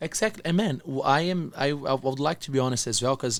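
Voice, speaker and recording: Moderate pacing from a man, on a very clean recording against a silent background. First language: not English. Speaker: entrepreneur and motivational speaker. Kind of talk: interview conversation.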